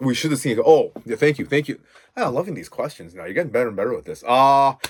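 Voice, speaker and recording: A man speaks very fast at a fairly high pitch, with vocal fry and big swings in loudness. His tone is animated and his intonation lively. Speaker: podcast host. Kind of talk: casual chat. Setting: home recording. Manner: halting.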